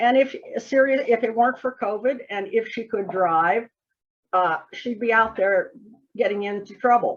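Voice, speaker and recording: At a fairly slow pace, a woman with an ordinary speaking voice talks at a fairly high pitch with lively intonation. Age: 60s. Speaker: group administrator. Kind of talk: casual chat.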